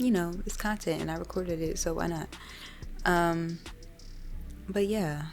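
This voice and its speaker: A woman at a moderate pace, with audible room echo. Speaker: gaming YouTuber. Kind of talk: casual chat. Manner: animated, filler-heavy.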